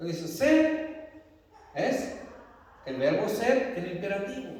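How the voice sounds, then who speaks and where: Amid audible room echo, a man speaks with very wide pitch swings. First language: not Spanish (speaking Spanish). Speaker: pastor. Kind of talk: sermon.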